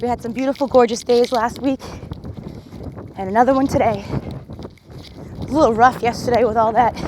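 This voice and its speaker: Through noticeable background noise, a woman with a fairly high pitch and an upbeat tone speaks at a moderate pace. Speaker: fitness instructor. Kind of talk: workout coaching while jogging. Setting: outdoors. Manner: encouraging, upbeat.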